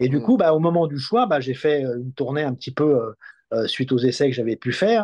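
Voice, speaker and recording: The surroundings are quiet. A man's tone comes across dark and mellow. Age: 60s. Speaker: electric car test website editor; guest. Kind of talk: interview. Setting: at the guest's home. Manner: halting, many hesitations and repetitions. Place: home room. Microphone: video call.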